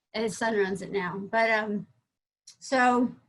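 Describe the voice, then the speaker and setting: A woman with a bright, sharp tone talks in an American accent. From US Northeast, Vermont. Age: 60s. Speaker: psychologist, business founder. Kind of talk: testimony. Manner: halting, many false starts.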